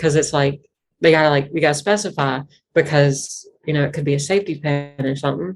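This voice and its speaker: Over music in the background, a woman talks at a fairly quick pace with a very deep, low pitch. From Virginia foothills, Piedmont / Blue Ridge. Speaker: bluegrass banjo musician. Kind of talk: casual interview chat. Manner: animated, many fillers and restarts.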